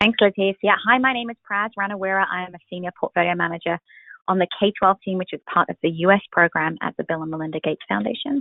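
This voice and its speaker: Her pace is very fast. The woman has a British accent and a fairly low pitch. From United Kingdom. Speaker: foundation portfolio manager, former teacher. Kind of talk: webinar panel conversation. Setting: webinar.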